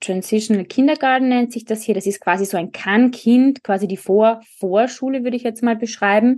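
Ordinary pitch variation in a woman's speech, set against a quiet background. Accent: Austrian. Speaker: speech therapist. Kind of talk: casual chat.

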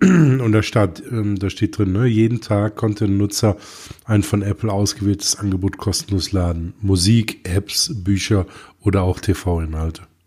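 A somewhat breathy man's voice with a dark, mellow tone, a fairly low pitch, ordinary pitch variation and a fairly slow pace. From Germany. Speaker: tech podcast co-host. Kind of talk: casual chat.

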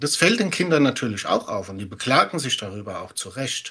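Bright and sharp in tone, a man talks at a fairly quick pace. His pitch swings in big leaps. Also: medium pitch for a man.

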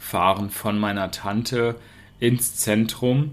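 A man's medium-pitched voice at a very slow pace. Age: 30s. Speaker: podcast host, German teacher. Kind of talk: storytelling for language learners. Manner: slow, clear.

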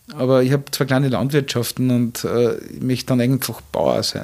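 This man has a normal speaking voice, medium in pitch, with fairly even intonation and a moderate pace. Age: 50s. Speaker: hotelier and restaurateur. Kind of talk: interview. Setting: hotel suite.

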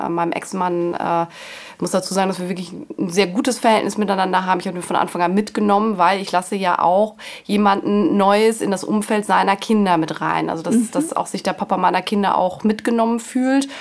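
A woman with a normal speaking voice, a medium pitch, ordinary pitch variation and a fairly quick pace. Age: 40s. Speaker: mother in a patchwork family. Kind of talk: interview.

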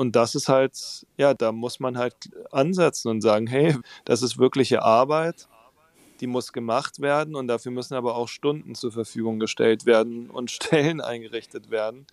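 In a plain, everyday voice, a man of medium pitch talks at a moderate pace with fairly even intonation, in a dry, close sound with no echo. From southern Germany (Baden-Württemberg, near Tübingen). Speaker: pastor and musician. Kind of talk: interview conversation.

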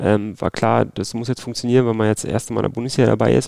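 Vocal fry runs through this man's medium-pitched voice. He talks very fast in a monotone, flat delivery. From Berlin, Germany. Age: 30s. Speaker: football referee. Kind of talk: interview. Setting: at home in Berlin.

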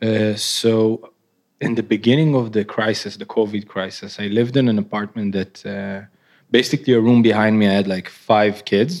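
In a very clean recording with a silent background, a man with a fairly low voice talks at a moderate pace and with fairly even intonation. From Israel. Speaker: artist. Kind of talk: live interview. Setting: stage with audience. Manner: nervous.

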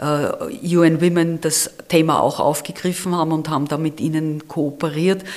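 A woman talks with a very deep, low pitch and monotone, flat intonation. Noticeable background noise sits behind her. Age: 60s. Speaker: campaign leader and retired auditor. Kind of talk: interview.

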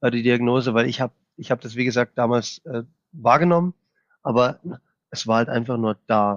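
In an unremarkable speaking voice, a man holds a medium pitch at a moderate pace. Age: 30s. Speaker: IT specialist with Tourette syndrome. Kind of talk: interview.

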